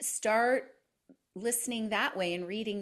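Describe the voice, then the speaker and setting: A plain, everyday voice from a woman with a Canadian accent, a moderate pace, ordinary pitch variation, and a very clean recording with a silent background. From Canada. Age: 50s. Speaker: podcaster and personal growth guest. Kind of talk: interview conversation.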